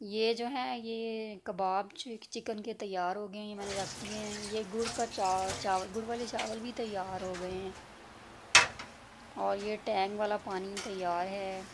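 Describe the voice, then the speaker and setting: Over loud background noise, a woman speaks in a flat monotone at a very slow pace, hardly pausing at all. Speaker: cooking vlogger. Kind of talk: cooking tutorial. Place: kitchen. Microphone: phone near.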